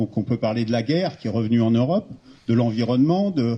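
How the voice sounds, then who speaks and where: A somewhat breathy voice with a dark, mellow tone. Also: man. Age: 60s. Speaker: retired engineer, civic initiative founder. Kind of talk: public talk at a meeting. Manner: halting.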